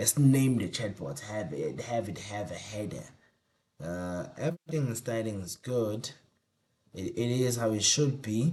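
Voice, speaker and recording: At a fairly slow pace, a man mumbles in a dark, mellow, somewhat breathy tone at a medium pitch. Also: lively intonation. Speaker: tech YouTuber. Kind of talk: tutorial. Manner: mumbling; halting, thinking aloud.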